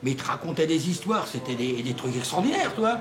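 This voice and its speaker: A man talks at a very fast pace with lively intonation. Audible room echo and noticeable background noise fill the recording. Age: 60s. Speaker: local resident. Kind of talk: documentary interview. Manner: animated.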